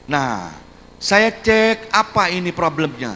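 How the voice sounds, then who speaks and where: The man's pitch swings very widely, and his tone is animated. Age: 60s. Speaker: regional head of government. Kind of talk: public lecture to students. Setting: university auditorium with audience.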